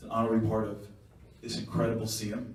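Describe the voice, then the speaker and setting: A man with a Long Island accent is heard with audible room echo and noticeable background noise. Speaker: guest speaker. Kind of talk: speech. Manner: fast.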